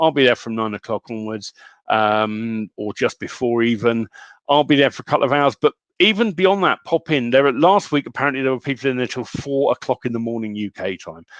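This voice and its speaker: The speaker has a British accent and lively intonation. The pace is fairly quick. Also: man, medium pitch for a man. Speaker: online community host. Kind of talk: casual live stream chat.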